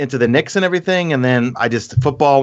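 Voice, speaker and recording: A man with a New York accent at a fairly quick pace, over a quiet background. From New York City. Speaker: gaming YouTuber. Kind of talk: casual chat. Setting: podcast recording.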